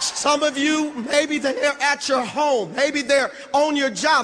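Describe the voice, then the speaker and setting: Noticeable background noise sits behind a man with an extremely high pitch. His raised, projected voice has an animated tone and moves at a fairly slow pace. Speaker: network marketing leader. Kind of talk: motivational speech. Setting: stage with audience.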